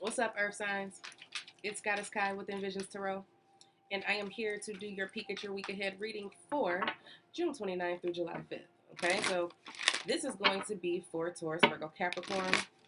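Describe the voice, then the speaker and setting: A woman at medium pitch with ordinary pitch variation and a moderate pace, over noticeable background noise. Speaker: tarot reader. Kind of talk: tarot reading monologue. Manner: casual, chatty.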